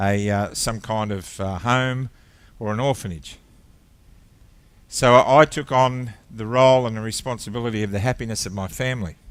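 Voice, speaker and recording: A man with an Australian accent, his voice at a medium pitch. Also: ordinary pitch variation, moderate pace. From Australia (Victoria). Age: 60s. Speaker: ministry founder, former airline captain. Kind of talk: testimony. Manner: halting.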